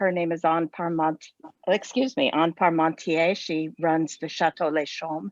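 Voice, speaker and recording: Against a quiet background, a woman with an unremarkable speaking voice and an American accent talks at a fairly slow pace, her fairly low pitch showing ordinary variation in a dry, close sound with no echo. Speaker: former university instructor in France, travel enthusiast. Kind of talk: casual chat.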